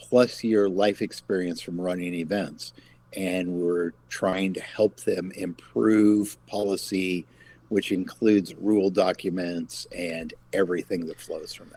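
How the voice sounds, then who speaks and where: A man with a very deep, low pitch and a dark, mellow tone talks at a fairly slow pace, keeping fairly even intonation despite big swings in loudness. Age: 50s. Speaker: game company founder. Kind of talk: casual chat.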